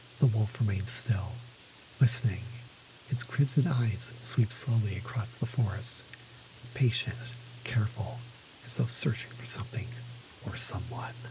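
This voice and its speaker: Soft-spoken delivery at a moderate pace, broken by long, frequent pauses, over noticeable background noise. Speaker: storyteller. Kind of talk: first-person fantasy story reading. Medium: read story.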